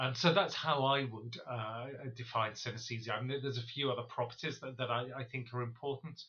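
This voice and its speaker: A man uses an ordinary speaking voice at medium pitch, talking at a fairly quick pace with fairly even intonation. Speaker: professor, synesthesia researcher. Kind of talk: expert explanation.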